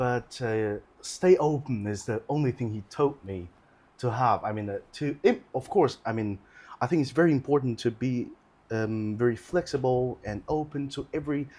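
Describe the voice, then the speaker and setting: A man with a Chinese accent speaks at medium pitch with ordinary pitch variation on a very clean recording with a silent background. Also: moderate pace. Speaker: orchestral horn player. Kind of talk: casual chat. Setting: live video stream. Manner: halting.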